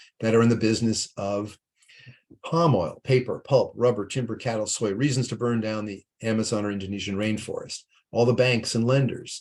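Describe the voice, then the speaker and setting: Ordinary pitch variation marks a man's medium-pitched voice. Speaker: nonprofit leader presenting investment research tool. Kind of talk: webinar presentation with screen demo. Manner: fast.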